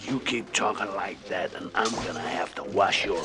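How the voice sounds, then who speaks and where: Using a put-on character voice, a man speaks at a moderate pace against clear background noise. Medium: short film. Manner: gruff, terse.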